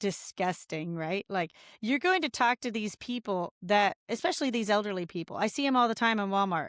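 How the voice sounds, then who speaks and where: On a very clean recording with a silent background, a woman's voice makes very wide pitch swings in a dry, close sound with no echo. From Indiana, rural. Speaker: congressional candidate. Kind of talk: casual interview. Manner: animated.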